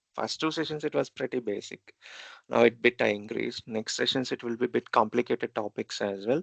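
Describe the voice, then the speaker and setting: A man with an Indian accent speaks at a medium pitch and a fairly quick pace, with vocal fry and ordinary pitch variation. The sound is dry and close with no echo, over a quiet background. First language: Telugu. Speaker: programming instructor. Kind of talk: lecture. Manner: halting.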